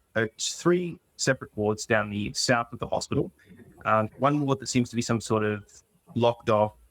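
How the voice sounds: Quiet background behind a natural reading voice, pitch varying in an ordinary way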